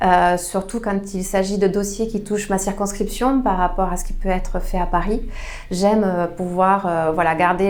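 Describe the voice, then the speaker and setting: A woman with a southwestern French accent at medium pitch and a moderate pace, with audible room echo and noticeable background noise. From southwest France, Tarn (Albi). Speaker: member of parliament. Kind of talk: interview. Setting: her constituency office. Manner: hesitant, many fillers.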